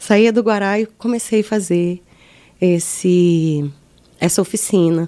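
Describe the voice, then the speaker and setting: A woman speaks at a medium pitch with a dark, mellow tone. Her pitch variation is ordinary. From Mato Grosso do Sul, Brazil. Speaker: actress and arts administrator. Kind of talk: interview.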